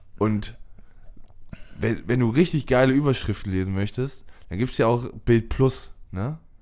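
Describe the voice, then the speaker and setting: A man at a medium pitch, fairly slow pace and ordinary pitch variation, with long, frequent pauses. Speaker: podcast host. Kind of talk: casual chat.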